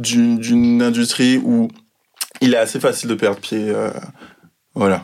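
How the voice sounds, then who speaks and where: Pitched in the medium range, a man talks at a fairly slow pace with ordinary pitch variation. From Guadeloupe. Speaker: fashion art director. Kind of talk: interview. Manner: hesitant, many fillers.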